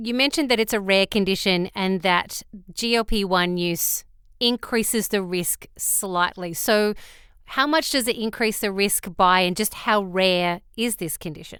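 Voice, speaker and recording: On a very clean recording with a silent background, a woman with an Australian accent speaks at a medium pitch with ordinary pitch variation. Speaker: podcast host. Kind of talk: scripted narration; interview.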